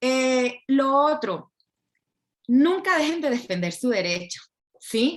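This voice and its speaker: A woman with a Colombian accent speaks at a very slow pace in a high pitch, with very wide pitch swings and long, frequent pauses. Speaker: intellectual property lawyer. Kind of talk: lecture. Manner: clear.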